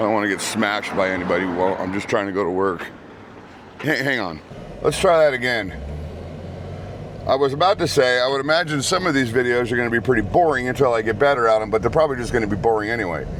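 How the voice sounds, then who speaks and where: A man's medium-pitched voice at a very fast pace, lively intonation, long and frequent pauses, noticeable background noise and audible room echo. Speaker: vlogger. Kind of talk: casual vlog monologue. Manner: casual, halting with fillers.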